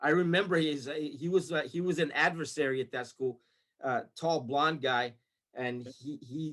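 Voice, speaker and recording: A man with an American accent speaks at a moderate pace in an animated tone, his fairly high voice moving through ordinary pitch variation. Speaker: retired army sergeant. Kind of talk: interview storytelling. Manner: animated, with many repetitions and fillers.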